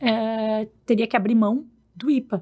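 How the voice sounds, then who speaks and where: A woman's fairly high voice in a southern Brazilian accent, at a very slow pace. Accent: gaúcho. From Rio Grande do Sul, Brazil. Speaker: law professor. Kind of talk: podcast interview.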